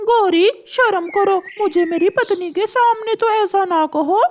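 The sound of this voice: The speaker uses a cartoonish character voice at an extremely high pitch. The pace is fairly slow.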